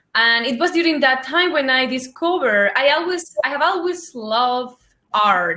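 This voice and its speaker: Using a bright, sharp tone and lively intonation, a woman speaks at a moderate pace. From Spain. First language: Spanish. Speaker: former postdoctoral researcher. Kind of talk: panel discussion. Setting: virtual conference.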